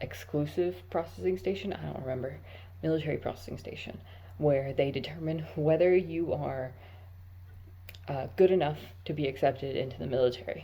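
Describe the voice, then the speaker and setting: A woman with a very deep, low, dark and mellow voice and vocal fry speaks at a fairly quick pace, making very wide pitch swings and taking long, frequent pauses. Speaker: vlogger, army recruit. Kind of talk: casual vlog monologue. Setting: at work.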